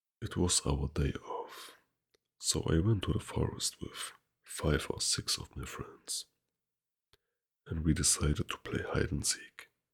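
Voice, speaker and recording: A man talks at a fairly slow pace. His speech has long, frequent pauses. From Germany. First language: German. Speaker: ASMR creator. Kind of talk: reading aloud. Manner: soft-spoken.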